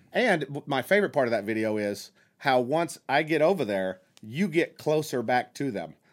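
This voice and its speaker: Swinging very widely in pitch, a man with an American accent and a fairly high voice talks at a moderate pace on a very clean recording with a silent background. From southern Oklahoma.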